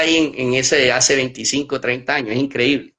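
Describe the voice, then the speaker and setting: A man is speaking. His pace is moderate. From Colombian Caribbean coast, Magdalena. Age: 40s. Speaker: artisan crafts business manager and cultural researcher. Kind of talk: podcast interview.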